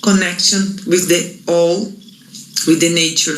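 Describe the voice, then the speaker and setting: Audible room echo and noticeable background noise surround a voice with a Portuguese accent. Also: woman. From Brazil. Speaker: Ayurvedic practitioner. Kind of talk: reading aloud. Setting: pre-recorded video.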